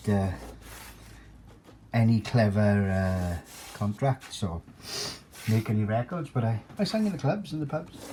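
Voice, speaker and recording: At a moderate pace, a man speaks in a somewhat breathy, dark, mellow voice of medium pitch with ordinary pitch variation. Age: 60s. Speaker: amateur guitar maker, former club singer. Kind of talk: tutorial. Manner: halting, many fillers.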